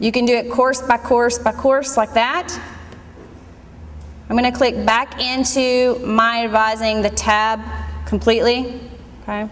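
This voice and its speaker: Loud and high-pitched, a woman speaks fairly slowly in a flat monotone, with long, frequent pauses. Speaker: college staff giving registration tutorial. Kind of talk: screen-recorded tutorial.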